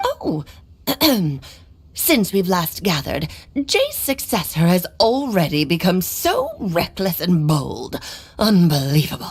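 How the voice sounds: A woman performs a put-on character voice at a medium pitch. Her pace is fairly slow.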